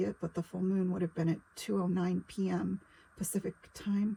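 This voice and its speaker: The tone is dark and mellow, somewhat breathy, at a moderate pace. The sound is dry and close, with no echo. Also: woman. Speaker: psychic tarot reader. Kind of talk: casual spiritual monologue to camera. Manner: hesitant with frequent fillers.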